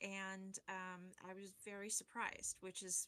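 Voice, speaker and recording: Bright, sharp tone from a woman at medium pitch, with an American accent. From Arizona. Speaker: forensic science instructor. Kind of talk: casual chat.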